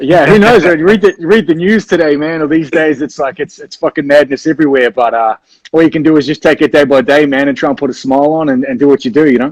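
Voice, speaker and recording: This man talks very fast in a New Zealand accent, with hardly any pauses and a fairly high pitch that varies in an ordinary way. The sound is dry and close, with no echo. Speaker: rock band frontman. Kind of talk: casual interview chat. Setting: video call livestream. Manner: casual, halting with fillers.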